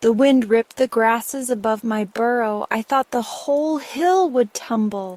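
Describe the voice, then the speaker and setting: A female-sounding, put-on character voice runs at a moderate pace with hardly any pauses, fairly high in pitch, on a very clean recording with a silent background. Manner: frightened, breathless.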